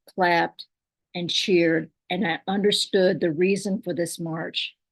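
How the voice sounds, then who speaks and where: A woman with an American accent speaks at a fairly slow pace, her medium pitch carrying fairly even intonation. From Kentucky. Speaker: poet and storyteller. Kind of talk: personal story told at a poetry reading.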